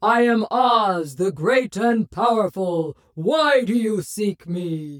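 Delivered at a very slow pace, this put-on character voice sits at a fairly high pitch. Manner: grand and commanding.

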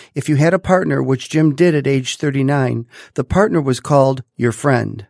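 A man's unremarkable speaking voice with ordinary pitch variation, recorded very cleanly against a silent background, with dry, close sound and no echo. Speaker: podcast host, doctor. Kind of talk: interview, friendly chat.

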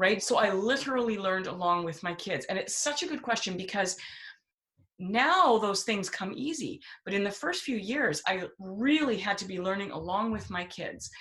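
A woman speaks at a medium pitch with lively intonation and a moderate pace in a normal speaking voice. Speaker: homeschooling speaker and writer. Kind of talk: casual podcast conversation.

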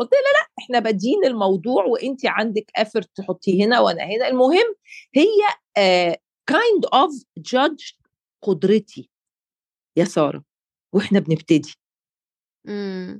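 A woman at a fairly slow pace with long, frequent pauses, in a dry, close sound with no echo. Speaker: life coach and podcast co-host. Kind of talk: casual chat.

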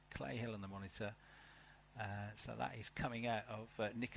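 This man speaks with a British accent. His pitch is fairly low. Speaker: race commentator. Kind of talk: live race commentary. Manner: animated, fast-paced.

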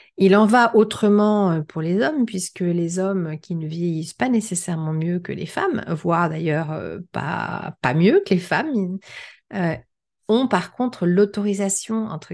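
Over a quiet background, a woman speaks at a very slow pace. Her pitch is fairly low, with ordinary variation. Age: 50s. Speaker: podcast host. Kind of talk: solo podcast with read-out excerpts.

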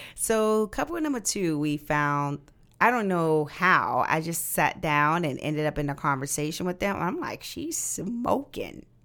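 A woman has a normal speaking voice, fairly low in pitch. She talks at a fairly slow pace with lively intonation. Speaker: podcast host. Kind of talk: casual chat.

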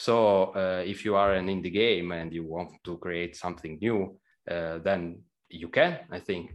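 A man talks at a fairly slow pace in an Italian accent, his very deep, low voice staying monotone and flat. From Italy. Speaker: game programmer. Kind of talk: casual interview.

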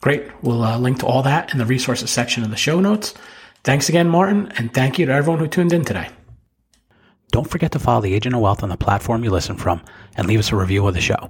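Speaking at a very fast pace, a man with an American accent uses a medium pitch with very wide pitch swings and a somewhat breathy sound. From New Jersey. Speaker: podcast host, financial advisor. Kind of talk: casual interview.

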